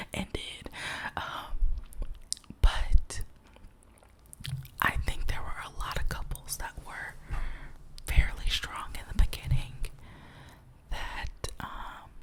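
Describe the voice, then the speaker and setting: A woman whispers at a very slow pace. Her loudness swings a lot, and she leaves long, frequent pauses. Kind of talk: casual talk to camera. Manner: whispered, rambling, gossipy.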